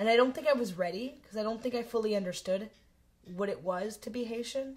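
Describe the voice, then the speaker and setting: This woman talks at a very fast pace. Her voice is somewhat breathy. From Canada. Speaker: interviewee. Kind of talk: interview testimony.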